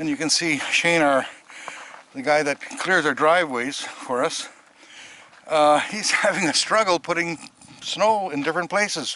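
A man at a moderate pace with ordinary pitch variation and long, frequent pauses, dry with no echo, over light background noise. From Canadian mainland. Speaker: vlogger. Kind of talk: casual home video narration. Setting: outdoors. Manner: conversational, rambling. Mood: relaxed, chatty. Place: open country. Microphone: phone near.

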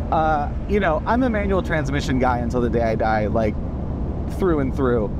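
Loud background noise around a man's dry, echo-free voice. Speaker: automotive journalist. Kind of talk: car review commentary. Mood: enthusiastic, relaxed. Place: car.

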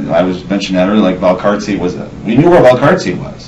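A man with an unremarkable speaking voice and a fairly low pitch talks at a fairly quick pace over light background noise. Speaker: interviewee. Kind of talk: interview answer. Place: home room. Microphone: camera far.

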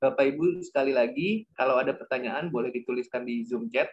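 His pace is fairly quick. The man's intonation is fairly even throughout. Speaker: discussion moderator. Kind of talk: moderated webinar. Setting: video call. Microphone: video call.

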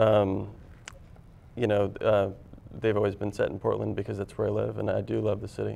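The speaker has an American accent and a fairly quick pace. Long, frequent pauses break up the speech. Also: man. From Washington State, US. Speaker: film writer-director; guest. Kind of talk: TV interview. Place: studio.

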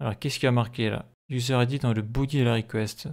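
The man's pitch is medium and his intonation fairly even. The recording is very clean, with a silent background. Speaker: programming tutorial creator. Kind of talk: screen-recorded coding tutorial. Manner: hesitant, many fillers.

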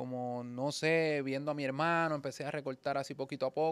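A plain, everyday voice from a man, fairly high in pitch, at a moderate pace with fairly even intonation. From Puerto Rico, rural. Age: 40s. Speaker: barber; podcast guest. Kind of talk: casual interview chat. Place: shop. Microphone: studio mic.

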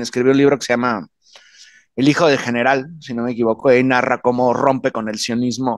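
Recorded dry with no echo, a man speaks over a quiet background. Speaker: political commentator. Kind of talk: panel discussion. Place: home room. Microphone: studio mic.

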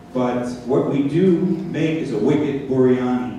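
Strong room echo and light background noise surround a man speaking at a medium pitch. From Sri Lanka. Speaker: cookbook author. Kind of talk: cooking demonstration. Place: stage.

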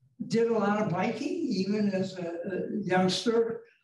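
A man speaks very slowly in a high voice with ordinary pitch variation, with audible room echo over a quiet background. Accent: American. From Wisconsin, Wauwatosa; Wisconsin. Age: old. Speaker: retired tech executive; interviewee. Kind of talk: interview. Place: meeting room. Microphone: camera far.

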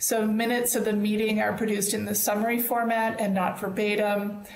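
Over light background noise and audible room echo, a woman talks at a fairly quick pace in a monotone, flat intonation. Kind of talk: meeting opening remarks. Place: home room. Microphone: earbuds.

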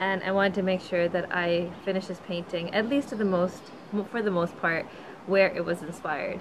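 A woman talks at a medium speed, her intonation fairly level, with noticeable noise in the background. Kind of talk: casual vlog chat. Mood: relaxed, content. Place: forest.

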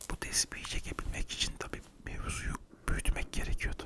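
At a moderate pace, a man is whispering. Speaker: storyteller playing a confessing thief. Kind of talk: comic monologue storytelling. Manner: soft intimate ASMR speech. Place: home room. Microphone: studio mic.

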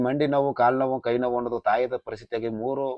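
A man is talking. His pitch is medium. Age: 30s. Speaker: temple oracle. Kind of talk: explanation to camera.

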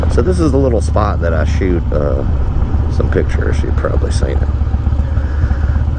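Loud background noise surrounds a man speaking at a moderate pace, his voice dry with no echo. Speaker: motorcycle vlogger. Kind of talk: casual vlog chat. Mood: relaxed, amused. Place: motorbike. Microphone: helmet.

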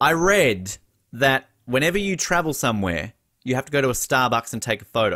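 A man with an Australian accent and a bright, sharp tone, fairly quick pace and very wide pitch swings, against a quiet background. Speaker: podcast host. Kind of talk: interview. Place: home room. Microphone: studio mic.

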